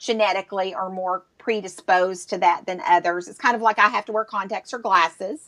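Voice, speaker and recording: A woman is speaking. She has a Southern US accent. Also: dry, close sound with no echo. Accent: Southern US drawl. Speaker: entrepreneur. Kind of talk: live interview. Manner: animated.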